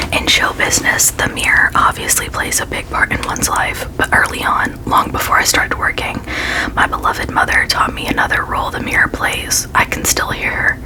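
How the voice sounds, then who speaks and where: The whispered speech keeps a moderate pace while noticeable background noise carries on. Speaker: ASMR creator. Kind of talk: reading aloud.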